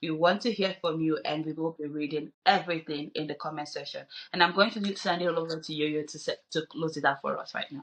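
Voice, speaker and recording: A woman speaks at a fairly quick pace with hardly any pauses, fairly low in pitch with ordinary pitch variation and big swings in loudness. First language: not English. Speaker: podcast co-host. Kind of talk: casual discussion.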